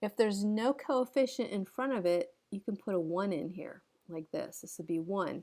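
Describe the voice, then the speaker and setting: In a very clean recording with a silent background, a woman at medium pitch talks at a moderate pace with lively intonation, in an unremarkable speaking voice. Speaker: math teacher. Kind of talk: tutorial. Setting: recorded lesson video.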